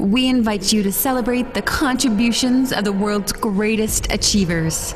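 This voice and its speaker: An unremarkable speaking voice from a woman, fairly high in pitch, at a moderate pace with ordinary pitch variation, very even loudness and light background noise. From Canada. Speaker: voice actor. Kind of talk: event promo read. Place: studio.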